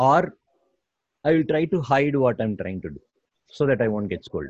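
Lively intonation marks this man's speech. He has a fairly high pitch and a moderate pace. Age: 40s. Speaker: tech entrepreneur and behavior coach. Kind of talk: interview.

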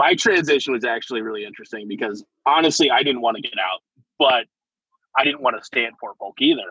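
A man talks at a very fast pace with an American accent. His intonation is lively and his pitch fairly high. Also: big swings in loudness. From US Pacific Northwest (eastern Washington). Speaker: army veteran, truck driver. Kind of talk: casual interview.

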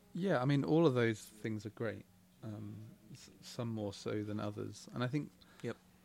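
A man with an English accent speaks at a moderate pace with ordinary pitch variation and big swings in loudness. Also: medium pitch for a man. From England, Buckinghamshire/Oxfordshire border. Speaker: game studio creative director. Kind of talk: casual chat. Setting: live recording in a bookstore.

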